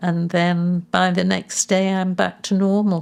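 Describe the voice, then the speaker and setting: A woman with an English accent speaks in a fairly low pitch on a very clean recording with a silent background. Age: 80s+. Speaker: patient sharing her experience. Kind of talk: testimony.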